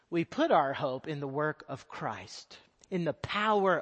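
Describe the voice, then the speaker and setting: A man with a Texan accent, his pitch swinging very widely. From Texas. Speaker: missionary. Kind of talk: sermon. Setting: church.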